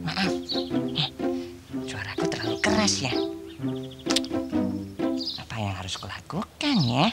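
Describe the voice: A cartoonish character voice with vocal fry and a fairly bright tone moves slowly through big pitch swings and long, frequent pauses while faint music plays in the background.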